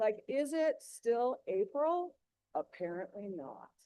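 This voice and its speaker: A woman is talking. Her pace is fairly slow. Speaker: drama club director. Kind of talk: presentation at school board meeting. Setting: board meeting with audience and online stream.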